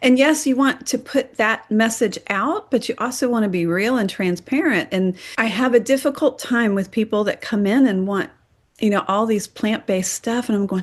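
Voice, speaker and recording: Set against a quiet background, a woman with an unremarkable speaking voice speaks at a fairly high pitch with ordinary pitch variation. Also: moderate pace. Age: 60s. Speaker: interview guest sharing diet story. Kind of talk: casual interview.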